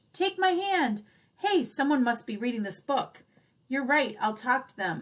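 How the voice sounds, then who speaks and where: Performed in a put-on character voice at a moderate pace, the delivery has very wide pitch swings and big swings in loudness. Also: woman, high pitch for a woman. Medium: read story. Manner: theatrical, alliterative.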